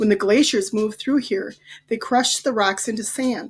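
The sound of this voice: Reading proceeds in an unforced voice.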